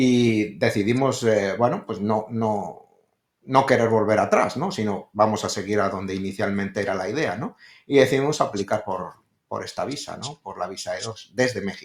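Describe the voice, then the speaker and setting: Here is a man with a Spanish accent and a fairly low pitch. He keeps a moderate pace and ordinary pitch variation. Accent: Spanish (Spain). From Spain, Madrid. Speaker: real estate investor. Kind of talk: interview. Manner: hesitant, many fillers.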